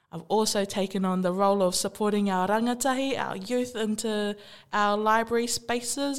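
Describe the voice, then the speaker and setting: On a very clean recording with a silent background, a woman with a New Zealand accent talks at a moderate pace in a medium-pitched voice with ordinary pitch variation. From New Zealand, Māori. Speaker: Māori youth library worker. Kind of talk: playful casual talk. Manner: animated, playful.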